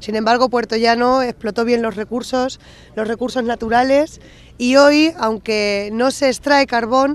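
The woman speaks at a moderate pace in a dry recording with no echo. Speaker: town mayor. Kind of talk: interview answer. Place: open country. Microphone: handheld.

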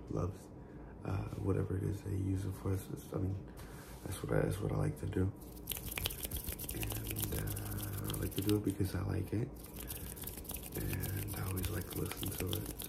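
Whispering and soft-spoken, a man goes at a moderate pace with long, frequent pauses over loud background noise. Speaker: ASMR creator. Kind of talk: ASMR whispered talk to camera. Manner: soft-spoken, whispered. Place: home room. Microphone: studio mic.

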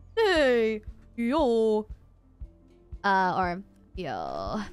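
A put-on character voice from a woman, with faint music in the background. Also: fairly high pitch for a woman. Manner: casual, like an emo horse.

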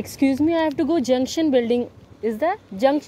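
Her voice is high for a woman, with a dark, mellow tone. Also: ordinary pitch variation, fairly quick pace.

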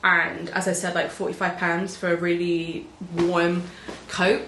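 A woman with an English accent is heard with audible room echo and light background noise. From England. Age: 20s. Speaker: beauty vlogger. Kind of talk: casual chat. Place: home room.

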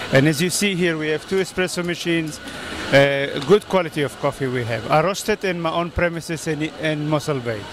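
Delivered at a fairly quick pace with ordinary pitch variation, the voice sounds dry with no echo over noticeable background noise. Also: man. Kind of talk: interview answer. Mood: cheerful, friendly. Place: market. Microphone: handheld.

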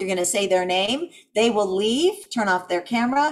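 Her pitch shifts in an ordinary way. The speaker is a woman. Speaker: event host explaining rules. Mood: upbeat, friendly. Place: home room. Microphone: video call.

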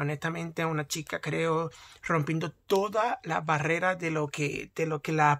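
A man is speaking. He has a Puerto Rican accent. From Puerto Rico. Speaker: YouTuber. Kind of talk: vlog commentary. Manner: halting, with many fillers. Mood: enthusiastic, supportive. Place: home room. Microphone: phone near.

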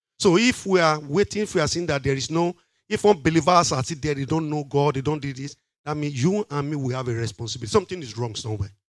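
A man speaks at a fast pace. His pitch is fairly high, with ordinary pitch variation.

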